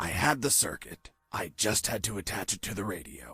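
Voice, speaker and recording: A put-on character voice with music in the background. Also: man, fairly low pitch for a man, moderate pace. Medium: video game. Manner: dry, sarcastic.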